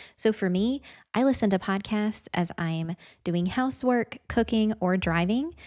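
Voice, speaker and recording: Heard in a dry, close sound with no echo, a woman with an American accent speaks at medium pitch with ordinary pitch variation. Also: very clean recording, silent background. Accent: Southern with a little Midwest. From US Midwest, Indiana. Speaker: video editing teacher and content creator. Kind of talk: podcast introduction monologue.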